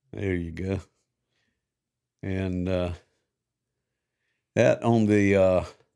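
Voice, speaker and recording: With a Georgia accent, a man speaks very slowly with long, frequent pauses, his dark, mellow tone very deep and low in pitch, his intonation fairly even, in a very clean recording with a silent background. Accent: US Southern (Georgia). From South Georgia, US South. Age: 60s. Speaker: podcast co-host. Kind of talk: casual interview chat.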